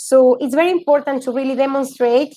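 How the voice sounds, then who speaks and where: A woman with a Spanish accent, high-pitched, dark and mellow in tone, dry and close with no echo. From Argentina. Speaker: yoga teacher. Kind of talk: talk to an audience. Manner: halting.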